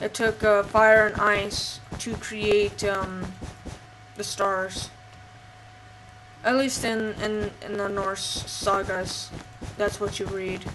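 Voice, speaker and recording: A woman speaks at a very slow pace in a monotone, flat way, with long, frequent pauses. Audible room echo and noticeable background noise fill the recording. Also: medium pitch for a woman. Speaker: gaming channel host and role-player. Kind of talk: storytelling. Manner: halting, many fillers; subdued, low energy.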